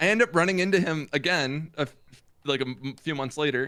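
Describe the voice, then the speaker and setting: A loud man's voice, bright and sharp in tone, at a fairly quick pace. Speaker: gaming streamer. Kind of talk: casual chat.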